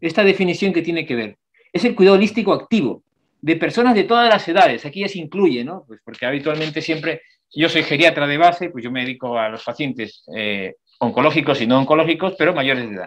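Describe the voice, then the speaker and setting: A man talks at a very fast pace with a fairly high pitch. His pitch swings very widely and his loudness rises and falls sharply. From outside Spain. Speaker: palliative care doctor, geriatrician. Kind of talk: lecture.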